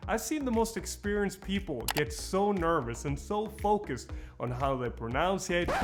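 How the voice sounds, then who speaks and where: Background music accompanies the clip. Over it, a man talks at a moderate pace. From Norway. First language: Norwegian. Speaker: speaking coach and event producer. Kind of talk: tutorial.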